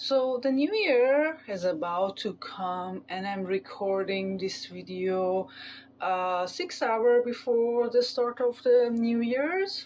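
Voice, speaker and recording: A woman with a non-native accent talks at a very slow pace. Her intonation is lively, and the background is quiet. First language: not English. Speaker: tarot reader. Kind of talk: tarot reading. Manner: halting, many fillers.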